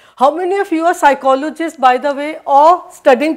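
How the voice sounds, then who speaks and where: Someone with an Indian accent speaks at a moderate pace with fairly even intonation. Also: woman. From northern India. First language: Hindi. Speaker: psychology professor. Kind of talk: lecture. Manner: halting, many fillers and restarts.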